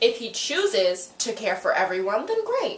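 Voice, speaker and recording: Noticeable background noise and audible room echo accompany a woman whose pitch is fairly high. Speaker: YouTuber reviewing TV episodes. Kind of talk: casual recap vlog. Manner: animated; loud.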